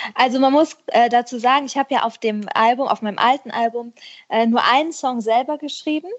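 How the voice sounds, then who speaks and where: A woman at a high pitch, talking at a fairly quick pace with ordinary pitch variation. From western Germany, Herzogenrath near Aachen. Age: 30s. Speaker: schlager singer. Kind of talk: casual interview. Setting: remote call.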